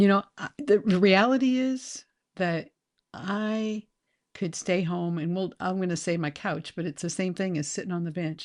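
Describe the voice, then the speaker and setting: A plain, everyday voice against a quiet background. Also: woman. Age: 60s. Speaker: podcast host and retirement author. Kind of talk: casual interview chat.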